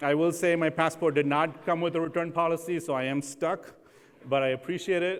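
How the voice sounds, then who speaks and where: With an American accent, a man speaks at a moderate pace in a high pitch. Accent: mostly American, learned from TV. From India. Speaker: housing finance leader. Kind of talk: keynote talk. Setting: stage with audience.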